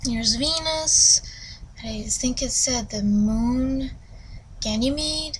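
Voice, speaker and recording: A woman speaks at a very slow pace in a high voice with ordinary pitch variation and long, frequent pauses. Room echo is audible, along with noticeable background noise. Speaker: book reviewer. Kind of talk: casual book review. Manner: rambling with many fillers.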